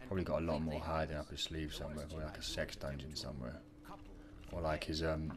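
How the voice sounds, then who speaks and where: The speaker has a London accent. The delivery is very fast. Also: man. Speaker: gaming YouTuber. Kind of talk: gameplay commentary. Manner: casual, halting with fillers. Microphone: too quiet.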